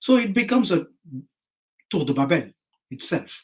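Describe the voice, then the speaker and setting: The pitch swings very widely. A man speaks at a fairly slow pace. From Pondicherry, India. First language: French. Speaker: writer. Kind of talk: panel discussion.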